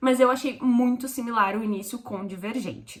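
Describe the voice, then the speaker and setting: A woman speaks in a high-pitched voice. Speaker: book reviewer. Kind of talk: casual book review. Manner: fast.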